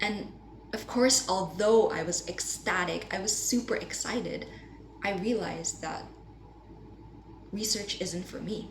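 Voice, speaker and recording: A woman talks at a fairly slow pace with long, frequent pauses. Noticeable background noise and audible room echo surround her voice. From Indonesia. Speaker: university student. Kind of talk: class presentation.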